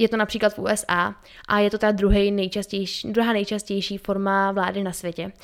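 In a very clean recording with a silent background, a woman talks at a medium pitch with monotone, flat intonation. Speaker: podcast co-host. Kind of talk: casual educational chat. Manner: fast.

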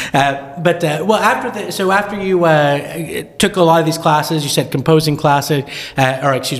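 Hardly pausing, a man talks at a fairly high pitch with ordinary variation. Noticeable background noise can be heard. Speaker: podcast host. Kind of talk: casual interview.

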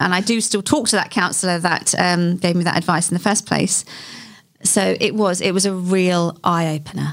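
A woman with a London accent at medium pitch, with fairly even intonation, very even loudness, and a moderate pace. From west London (Hayes area), England. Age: 50s. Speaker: local mayor. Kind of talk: interview. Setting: studio.

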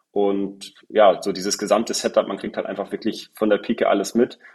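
A man speaks at a moderate pace with a fairly low pitch and monotone, flat intonation. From northern Germany, Husum. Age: 20s. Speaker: sales director. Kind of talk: interview. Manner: hesitant with fillers.

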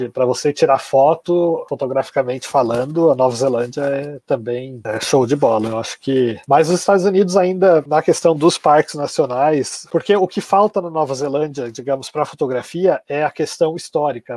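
In a dry, close sound with no echo, a man with a fairly high pitch and a dark, mellow tone talks at a moderate pace with hardly any pauses. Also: ordinary pitch variation. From Brazil, Santa Catarina. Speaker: travel blogger, expatriate. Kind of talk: interview.

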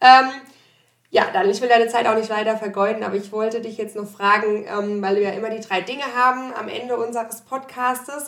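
Her volume rising and falling sharply, a woman speaks at an unhurried, moderate speed. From Odenwald, Germany. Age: 30s. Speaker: company podcast host. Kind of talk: interview. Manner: hesitant, many fillers.

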